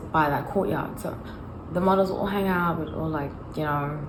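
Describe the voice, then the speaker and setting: There is audible room echo and noticeable background noise as the woman speaks. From South Africa, Johannesburg. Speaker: tarot reader. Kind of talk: casual chat. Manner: halting.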